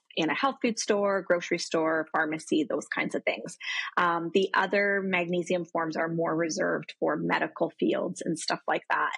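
Over a quiet background, a woman with a fairly low pitch speaks in a normal speaking voice at a moderate pace, her intonation fairly even and the sound dry with no echo. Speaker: remote guest. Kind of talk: interview answer. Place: home room. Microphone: video call.

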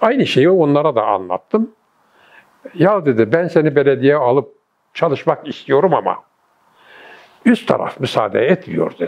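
A man's fairly high voice with vocal fry, very wide pitch swings and a fairly slow pace. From Gaziantep, Turkey. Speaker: retired architect, former city planning director. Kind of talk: oral history interview answer.

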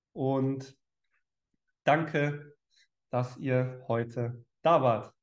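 Against a quiet backdrop, a man talks with fairly even intonation. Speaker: online speaker or coach. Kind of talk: motivational talk to viewers. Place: home room. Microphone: headset.

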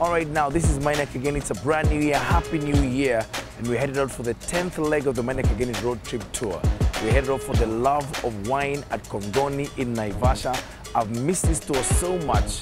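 A man's voice sounds dry with no echo while clear music plays in the background. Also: ordinary pitch variation, fairly quick pace. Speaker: radio host leading the tour. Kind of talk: energetic presenter intro. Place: station.

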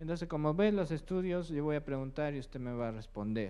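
A man talks at a fairly quick pace. His fairly high voice shows ordinary pitch variation.

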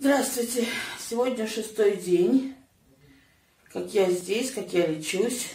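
At a very slow pace with long, frequent pauses, a woman speaks at a fairly high pitch with ordinary pitch variation, and the room echo is audible. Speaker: fasting patient; guest. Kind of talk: casual interview. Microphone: camera far.

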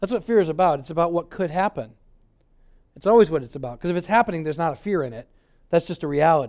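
Over a quiet background, a man with an American accent speaks at a very fast pace in a fairly high pitch with lively intonation. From Michigan, US. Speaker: pastor. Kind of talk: sermon. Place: hall. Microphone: headset.

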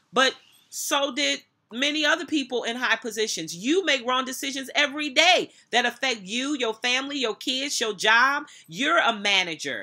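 A woman's raised, projected voice has a bright, sharp tone and a high pitch. She speaks at a moderate pace with lively intonation against a quiet background. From United States. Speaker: minister and motivational speaker. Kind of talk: sermon-style commentary to camera, reading scripture and preaching. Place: office. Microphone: webcam.

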